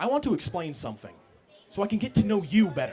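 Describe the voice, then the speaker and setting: A man speaks over noticeable background noise. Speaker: spoken word poet. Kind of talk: casual talk to audience. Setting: live coffee house open mic.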